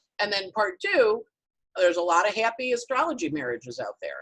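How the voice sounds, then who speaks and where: A woman is speaking. Her pitch swings very widely. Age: 60s. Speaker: astrology teacher. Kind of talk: online town hall discussion.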